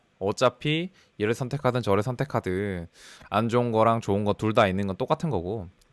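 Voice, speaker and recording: A man's fairly low pitch at a fairly quick pace, in a dry, close sound with no echo and a very clean recording with a silent background. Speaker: data scientist. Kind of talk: personal career story talk. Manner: fast; talkative, casual.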